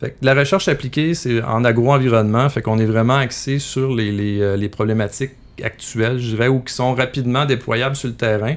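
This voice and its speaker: Speaking with a Quebec accent, a man talks at a fairly quick pace. His medium-pitched voice keeps a fairly even intonation. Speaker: agronomist and researcher. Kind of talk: interview. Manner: halting.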